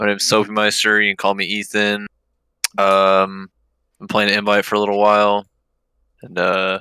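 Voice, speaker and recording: Dry and close with no echo, a man's bright, sharp voice carries an American accent and monotone, flat intonation broken by long, frequent pauses. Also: fairly low pitch for a man, moderate pace. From Texas. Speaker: gamer. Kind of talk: casual chat. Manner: loud.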